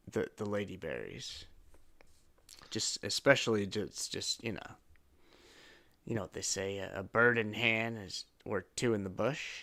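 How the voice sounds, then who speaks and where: A raspy put-on character voice at a moderate pace, with fairly even intonation, long, frequent pauses and a very clean recording with a silent background. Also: man, fairly low pitch for a man. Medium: actual play. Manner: halting, rambling, formal.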